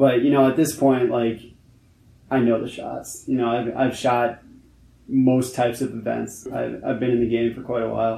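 Audible room echo hangs around a man's dark, mellow tone and monotone, flat intonation. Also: medium pitch for a man, moderate pace. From New York City, Manhattan. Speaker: photographer. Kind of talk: interview conversation. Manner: halting, many fillers.

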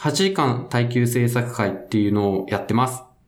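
Audible room echo hangs around a man's voice. He speaks at a medium pitch and a moderate pace. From Fukuoka, Itoshima. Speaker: game developer. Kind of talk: casual podcast interview.

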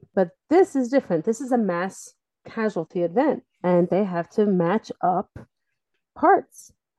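With an American accent and an unremarkable speaking voice, a woman speaks at a medium pitch with lively intonation over a quiet background. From US, Delaware. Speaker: rescue organization spokesperson. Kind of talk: interview.

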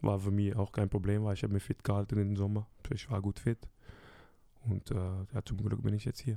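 With a dark, mellow tone, a man speaks in a monotone, flat intonation at very even loudness, leaving long, frequent pauses, in a dry, close sound with no echo. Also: fairly low pitch for a man, moderate pace. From Netherlands (Curaçao roots). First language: Dutch (speaking German). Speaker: professional footballer. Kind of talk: casual interview.

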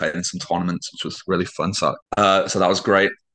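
A man with a British accent speaks at a fairly quick pace in a very deep, low voice with a bright, sharp tone. His intonation is monotone and flat, and the background is quiet. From Britain. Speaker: adapted PE teacher. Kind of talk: casual interview.

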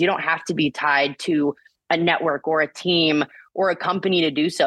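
In an American accent, a woman speaks with a fairly low pitch. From Indiana (Bloomington). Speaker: sports broadcaster and volleyball analyst. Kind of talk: interview conversation.

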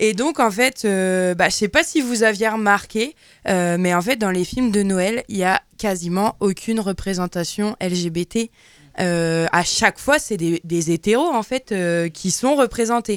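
Speaking very slowly at a medium pitch with lively intonation, a woman is heard in a very clean recording with a silent background and a dry, close sound with no echo. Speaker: radio columnist. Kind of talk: casual chat. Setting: studio.

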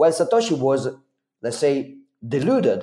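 A man with an Italian accent at a moderate pace. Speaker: Bitcoin advocate and event organizer. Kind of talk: podcast interview. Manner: halting, many fillers.

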